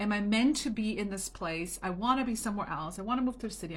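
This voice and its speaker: A woman with a bright, sharp tone speaks at a very fast pace and fairly high pitch. Her pitch variation is ordinary, and room echo is audible. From Germany. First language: German or Italian. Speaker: home business coach. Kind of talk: motivational talk to camera. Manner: casual, chatty.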